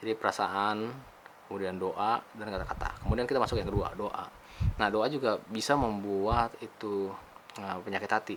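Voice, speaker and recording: A man speaks at a moderate pace in a fairly low pitch. Noticeable background noise runs underneath. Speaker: motivational vlogger. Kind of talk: casual spiritual talk. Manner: casual, hesitant with fillers.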